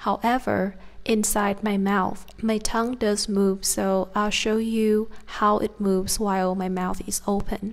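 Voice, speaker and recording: At a fairly slow pace, a woman with a southern Vietnamese accent speaks at a medium pitch with monotone, flat intonation. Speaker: Vietnamese pronunciation teacher. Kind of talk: language lesson to camera.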